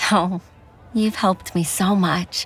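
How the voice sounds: A put-on character voice with a slightly husky edge, a slow pace, and fairly even intonation. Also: woman, fairly low pitch for a woman.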